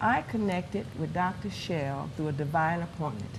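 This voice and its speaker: Amid audible room echo, a woman speaks at a moderate pace in a very deep, low, somewhat breathy voice with ordinary pitch variation. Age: 60s. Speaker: pastor. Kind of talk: testimony.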